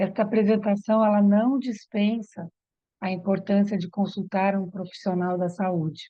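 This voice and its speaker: A woman's medium-pitched voice, fairly slow, with monotone, flat intonation. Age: 60s. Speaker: yoga therapist and aromatherapist. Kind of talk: online workshop presentation.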